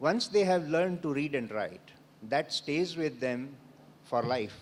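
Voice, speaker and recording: A man with an Indian accent talks at a moderate pace using lively intonation. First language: Odia. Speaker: panelist. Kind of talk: panel discussion. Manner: hesitant, many fillers.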